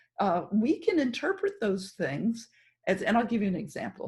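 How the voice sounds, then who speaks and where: A somewhat breathy, dark and mellow voice at a fairly slow pace. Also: woman. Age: 60s. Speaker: podcast host. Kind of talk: podcast interview.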